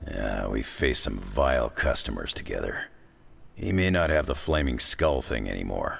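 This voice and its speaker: Putting on a character voice, a man speaks raspy and very deep, low-pitched at a moderate pace. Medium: video game. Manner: gruff, sardonic, casual.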